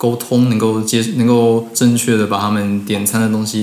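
A man talks at a fairly low pitch in a flat, monotone delivery. Noticeable background noise and audible room echo fill the recording. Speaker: former coffee shop part-timer, student in Japan. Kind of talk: casual interview. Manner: halting with fillers.

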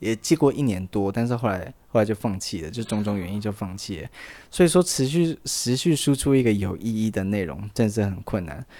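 Lively intonation marks a man's fairly low-pitched voice with a dark, mellow tone at a fairly quick pace. The recording is very clean, with a silent background. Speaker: podcast host. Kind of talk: casual chat. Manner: halting, repeats words.

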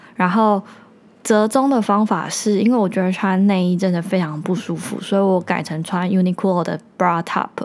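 At medium pitch with ordinary pitch variation, a woman speaks in a plain, everyday voice. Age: 20s. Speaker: podcast host. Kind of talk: solo monologue.

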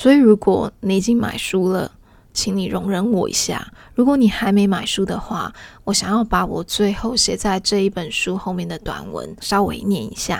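A woman with a Taiwanese accent at medium pitch and fairly even intonation, on a very clean recording with a silent background. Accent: Taiwanese Mandarin. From Taiwan, Taipei. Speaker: podcast host and author. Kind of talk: casual solo podcast talk. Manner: relaxed, lazy drawl.

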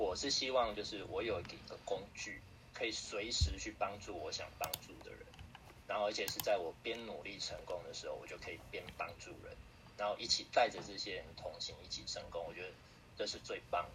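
Over noticeable background noise and audible room echo, a man speaks at a moderate pace with big swings in loudness. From Taiwan, Taipei (Beitou). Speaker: direct sales member, former company executive. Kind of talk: online interview. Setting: online livestream seminar.

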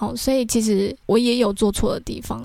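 With a Taiwanese accent, a woman speaks in a fairly high voice with ordinary pitch variation. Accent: Taiwanese Mandarin. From Taiwan, Taichung. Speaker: podcast host. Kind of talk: casual storytelling monologue.

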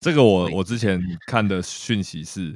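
Recorded very cleanly against a silent background, a man speaks in a very deep, low pitch with ordinary pitch variation. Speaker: podcast co-host. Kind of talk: casual chat.

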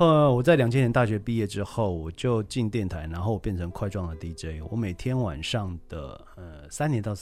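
Over music in the background, a man with a fairly low voice talks at a moderate pace with lively intonation and hardly any pauses. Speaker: radio DJ and college radio instructor. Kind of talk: casual interview.

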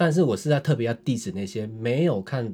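A man's somewhat breathy voice, medium in pitch, moves at a moderate pace. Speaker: podcast co-host. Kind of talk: casual chat.

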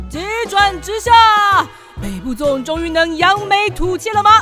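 A woman performs a put-on character voice at an extremely high pitch, bright and sharp in tone. Her intonation is lively, with faint music in the background. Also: fairly slow pace.

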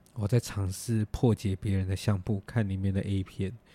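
A man with a Taiwanese accent speaks in a fairly low pitch with a dark, mellow tone. The very clean recording has a silent background and a dry, close sound with no echo. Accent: Taiwanese Mandarin. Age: 20s. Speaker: podcast host. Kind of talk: casual chat.

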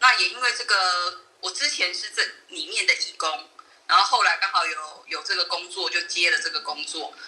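At a moderate pace, a woman talks through noticeable background noise. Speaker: amateur voice actor and charity administrator. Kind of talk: interview.

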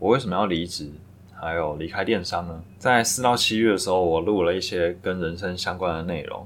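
A man's very deep, low voice with ordinary pitch variation and audible room echo. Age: 30s. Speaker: podcast host, full-time trader. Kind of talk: solo reflective monologue. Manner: halting, with filler words.

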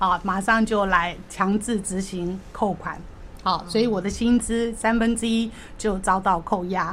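At a fairly slow pace, a woman talks at medium pitch in an ordinary speaking voice. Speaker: debtor sharing her story. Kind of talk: testimony.

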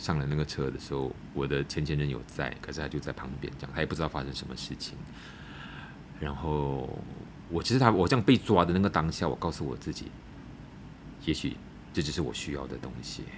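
A man's very deep, low voice at a fairly quick pace, broken by long, frequent pauses, with ordinary pitch variation. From Malaysia, Malacca. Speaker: former drug user planning a rehab centre. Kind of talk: personal testimony in interview. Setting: in person, face to face. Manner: halting with repeated words.

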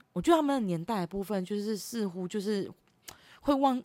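Loud and at a fairly quick pace, a woman speaks at medium pitch with very wide pitch swings. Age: 30s. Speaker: podcast host. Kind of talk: solo monologue podcast. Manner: loud laughter; halting, many fillers.

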